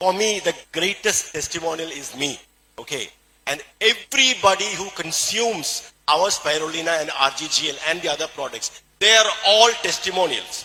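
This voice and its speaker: This man speaks at a moderate pace in a high voice with a Keralan accent, his intonation lively and his loudness swinging widely. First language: Malayalam. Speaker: doctor and supplement promoter. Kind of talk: motivational sales talk.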